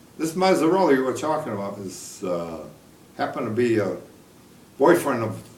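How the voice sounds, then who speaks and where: At a moderate pace and medium pitch, a man speaks with very wide pitch swings amid noticeable background noise and audible room echo. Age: 80s+. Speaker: war veteran. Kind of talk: casual chat. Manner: halting.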